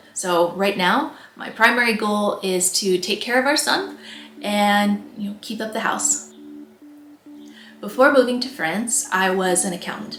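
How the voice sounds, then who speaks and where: Music plays in the background while a woman with an American accent speaks at medium pitch. Audible room echo surrounds her voice. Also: ordinary pitch variation, fairly slow pace. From US Midwest, Nebraska. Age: 30s. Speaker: vlogger. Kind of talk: casual vlog Q&A.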